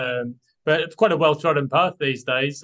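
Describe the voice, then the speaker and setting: Speaking with a British accent, a man has a bright, sharp tone. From UK. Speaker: property buyer's agent and analyst. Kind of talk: casual interview chat.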